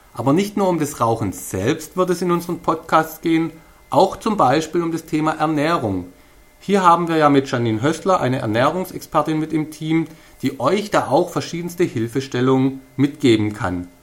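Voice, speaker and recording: Fairly high-pitched for a man, this speaker has a Swabian accent and lively intonation. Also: moderate pace. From Swabia, Stuttgart area. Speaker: podcast host. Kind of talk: podcast introduction monologue.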